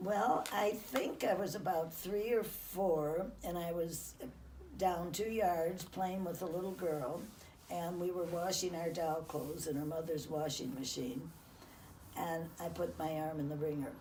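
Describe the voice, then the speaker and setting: With an American accent, a woman with a fairly low pitch speaks with ordinary pitch variation amid audible room echo and noticeable background noise. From US Midwest, Chicago outskirts. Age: 90s. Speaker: interviewee recounting her life. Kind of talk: life-story interview. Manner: halting.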